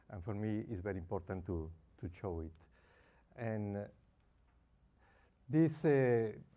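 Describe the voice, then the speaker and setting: A man speaks fairly slowly in a fairly low pitch with lively intonation. His long, frequent pauses carry audible room echo. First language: Spanish. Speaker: consumer advocacy founder. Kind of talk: conference presentation.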